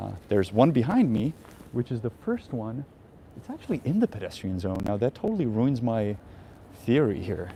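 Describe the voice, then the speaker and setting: A man with a medium pitch talks at a moderate pace with ordinary pitch variation. His tone is dark and mellow, and somewhat breathy. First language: Czech. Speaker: travel vlogger. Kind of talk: live stream walking tour. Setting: outdoors. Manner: casual, hesitant with fillers.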